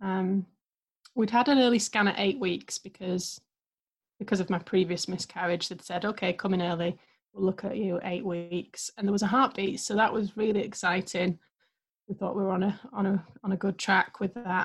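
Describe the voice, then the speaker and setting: A somewhat breathy voice with an English accent and fairly even intonation. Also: woman, medium pitch for a woman, moderate pace. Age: 30s. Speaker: guest sharing miscarriage story. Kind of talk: testimony.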